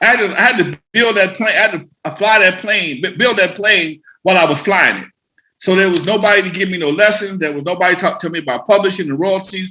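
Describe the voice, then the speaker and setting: A man talks at a very fast pace in a raised, projected voice with a bright, sharp tone. His pitch is high, with ordinary variation. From US West Coast, Los Angeles. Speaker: hip hop producer and nightclub owner. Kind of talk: casual interview chat.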